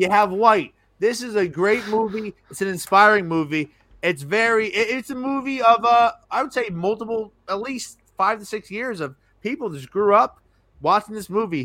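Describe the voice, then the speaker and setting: In a raised, projected voice, a man with a high pitch talks at a moderate pace, his intonation lively and his tone bright and sharp. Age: 30s. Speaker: podcast host. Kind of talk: casual chat. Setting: live stream.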